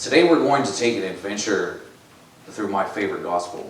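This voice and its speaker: Loud and fairly low in pitch, a man's voice comes through with audible room echo and noticeable background noise. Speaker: lay preacher. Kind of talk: sermon.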